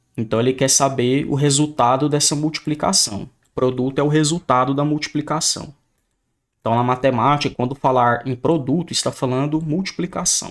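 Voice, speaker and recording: Here a man has a plain, everyday voice with a fairly high pitch and fairly even intonation at a moderate pace. The recording is very clean with a silent background. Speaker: math teacher. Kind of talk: lecture.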